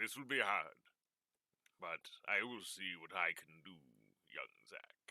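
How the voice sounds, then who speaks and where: A man's fairly low put-on character voice at a fairly slow pace, with long, frequent pauses. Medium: actual play. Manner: formal, elaborate.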